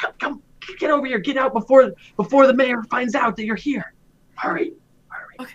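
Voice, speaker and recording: A high, put-on character voice moves at a moderate pace with long, frequent pauses. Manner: urgent, beckoning, hushed.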